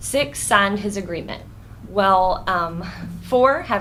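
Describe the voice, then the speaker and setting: A woman speaks at a medium pitch, with audible echo from the room. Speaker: neighborhood association representative speaking at public meeting. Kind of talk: public comment at county board meeting. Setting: county board meeting room. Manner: fast.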